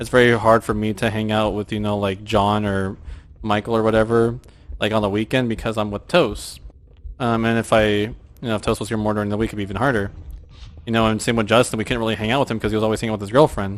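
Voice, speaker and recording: Very fast, a man talks at a fairly low pitch with monotone, flat intonation. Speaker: gamer streamer. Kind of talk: casual chat. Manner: loud when gaming with friends.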